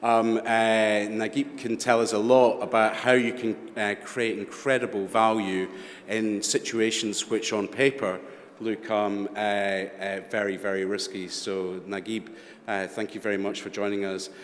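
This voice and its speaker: A man with a Scottish accent speaks at a fairly low pitch with fairly even intonation. Noticeable background noise is present. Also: fairly slow pace. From Scotland. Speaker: panel moderator. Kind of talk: moderated panel discussion.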